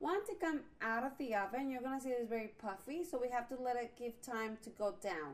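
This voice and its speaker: A woman speaks with a Spanish accent at a moderate pace. Her pitch is high and her intonation lively. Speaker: cooking channel host. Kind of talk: cooking tutorial. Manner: casual, with fillers and hesitations.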